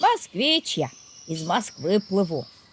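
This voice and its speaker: Using a put-on character voice, a woman speaks fairly slowly at a medium pitch. Her pitch swings very widely. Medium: read story. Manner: cheeky, self-satisfied.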